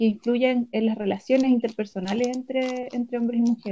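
A woman speaks with a Chilean accent in a dark, mellow tone. Her pitch is fairly high, and her intonation is monotone and flat. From Chile, Chillán. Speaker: anthropologist and film festival director. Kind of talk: casual chat.

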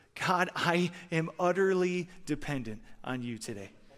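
Over a silent background on a very clean recording, a man speaks at a high pitch in a Midwestern American accent. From Michigan. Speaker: former pro hockey player turned sports minister. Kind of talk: chapel talk. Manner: energetic.

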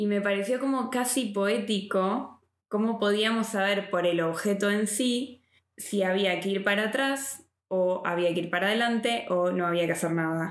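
A woman speaks at a moderate pace and a medium pitch, with ordinary pitch variation and very even loudness. Audible room echo surrounds her voice. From Argentina. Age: 30s. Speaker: podcast host. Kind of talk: interview. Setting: in person recording.

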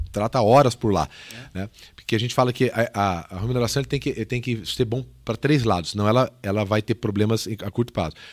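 A man speaks in a plain, everyday voice at medium pitch and a fairly quick pace. His pitch varies in an ordinary way on a very clean recording with a silent background. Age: 40s. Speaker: podcast host, sales trainer. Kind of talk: casual interview chat.

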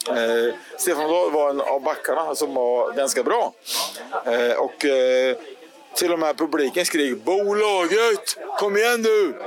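A very slow pace with very wide pitch swings and very even loudness, over noticeable background noise. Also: man, fairly high pitch for a man. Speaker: founding supporter-group member. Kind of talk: storytelling.

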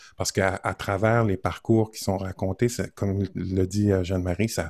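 A man with a very deep, low pitch and a dark, mellow tone speaks at a moderate pace in a monotone, flat delivery, the very clean recording dry and close with no echo and a silent background. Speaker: podcast and radio host. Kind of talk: casual interview conversation.

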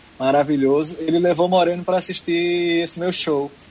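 A man speaks at a fairly quick pace in a fairly high pitch, with noticeable background noise. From Pernambuco, Brazil (Arcoverde). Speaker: singer-songwriter. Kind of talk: interview. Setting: online remote interview.

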